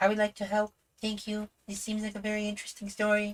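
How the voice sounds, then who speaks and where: Putting on a character voice, a female-sounding voice rattles along at a very fast pace with medium pitch and monotone, flat intonation. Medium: game stream.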